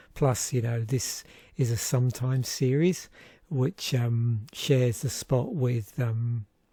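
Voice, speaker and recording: A man at medium pitch speaks very slowly in a gentle, relaxed, dark and mellow tone, somewhat breathy with ordinary pitch variation, on a very clean recording with a silent background. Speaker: YouTuber reviewing card game packs. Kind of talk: casual solo commentary.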